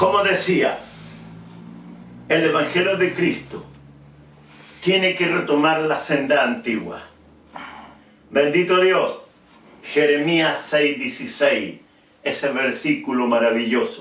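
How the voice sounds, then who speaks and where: The speech comes at a very slow pace with long, frequent pauses, very wide pitch swings, and very even loudness, over noticeable background noise and audible room echo. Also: man, high pitch for a man. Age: 70s. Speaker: preacher. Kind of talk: sermon.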